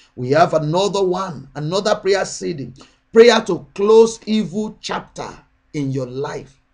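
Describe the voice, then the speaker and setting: A man speaks at a fairly slow pace in a high voice, his intonation lively and his loudness swinging widely, with a quiet background. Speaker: prayer channel minister. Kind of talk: sermon and prayer. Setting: online video address. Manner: fervent, urgent, exhorting; repetitive, rhythmic, declarative. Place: home room. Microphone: webcam.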